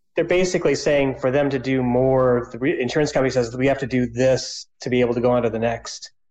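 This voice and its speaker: A man talks at a very fast pace with hardly any pauses. His medium pitch holds fairly even intonation. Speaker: caller. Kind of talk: casual chat. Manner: halting.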